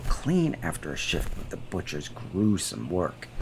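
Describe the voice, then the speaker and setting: Speaking at a moderate pace, a man shows vocal fry and very wide pitch swings. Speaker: voiceover narrator, indie animator. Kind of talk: first-person horror story narration.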